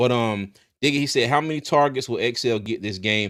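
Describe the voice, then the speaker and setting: A man with an American accent talks at a fairly quick pace with ordinary pitch variation. The recording is very clean, with a silent background. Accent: slight country. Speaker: sports podcast host. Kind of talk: casual sports talk show.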